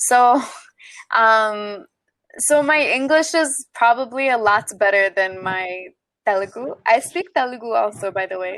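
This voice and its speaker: A woman with an American accent speaks at a fairly slow pace, her fairly high pitch carried by lively intonation. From United States (Indian family, moved as a small child). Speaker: online English tutor. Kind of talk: casual chat. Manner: hesitant, many fillers.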